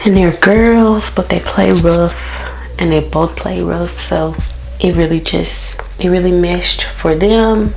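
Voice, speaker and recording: Soft-spoken and very slow, a woman talks amid noticeable background noise and audible room echo. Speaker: beauty vlogger and mom. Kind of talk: casual chat. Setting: home bathroom.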